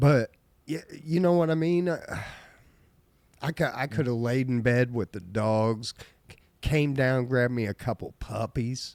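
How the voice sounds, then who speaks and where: With a medium-pitched voice and ordinary pitch variation, a man speaks at a fairly slow pace with long, frequent pauses, the sound dry and close with no echo. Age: 50s. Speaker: podcast host. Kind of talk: casual chat. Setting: live stream. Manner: loud.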